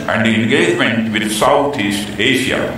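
A man's moderately paced speech with ordinary pitch variation, light background noise and strong room echo. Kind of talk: formal speech. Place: stadium.

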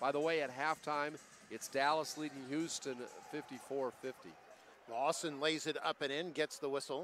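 Over light background noise, a man with a fairly high pitch talks at a fairly slow pace, the sound dry with no echo. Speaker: basketball commentator. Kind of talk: live sports commentary. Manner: excitable, rising on big plays. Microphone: headset.

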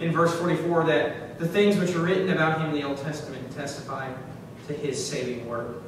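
A man at a moderate pace, with strong room echo and noticeable background noise. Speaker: preacher. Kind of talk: sermon. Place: church.

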